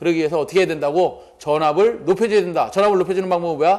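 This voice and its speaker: A man is speaking here. His pitch is high, with ordinary variation. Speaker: exam prep lecturer. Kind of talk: lecture. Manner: fast; rhetorical questions, conversational.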